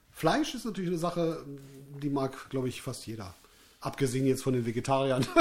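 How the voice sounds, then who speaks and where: A man speaks at a fairly quick pace, broken by long, frequent pauses. His pitch is medium, with ordinary variation. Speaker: musician and podcast host. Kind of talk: casual chat. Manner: loud.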